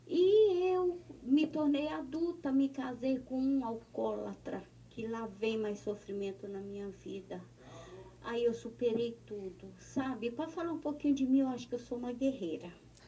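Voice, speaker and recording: A woman with a high pitch and a dark, mellow tone talks at a fairly slow pace, her intonation lively. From Recife, Pernambuco, Brazil. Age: 60s. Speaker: listener. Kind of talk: recorded voice message.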